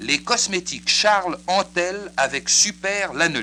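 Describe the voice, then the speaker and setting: Speaking at a very slow pace, a man with a high-pitched voice has a bright, sharp tone. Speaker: radio announcer. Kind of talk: radio infomercial. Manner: paternalistic.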